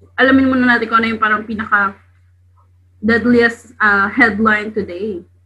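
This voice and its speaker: Her fairly high voice has a bright, sharp tone, and the woman speaks at a moderate pace with monotone, flat intonation. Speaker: podcast co-host, medical student. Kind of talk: casual chat.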